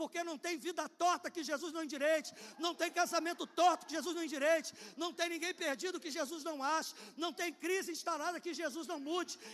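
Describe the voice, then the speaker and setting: At a fairly quick pace, a man speaks in an animated tone at an extremely high pitch. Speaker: pastor. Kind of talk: sermon. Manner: fast.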